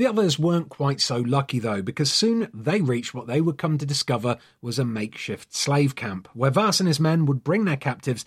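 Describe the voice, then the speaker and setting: Somewhat breathy and fairly high in pitch, a man delivers lines in a dramatic tone with lively intonation, captured in a very clean recording with a silent background. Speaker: podcast host. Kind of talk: scripted true crime narration; dramatic narration. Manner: dramatic, suspenseful storyteller with grave tone; measured, solemn pacing.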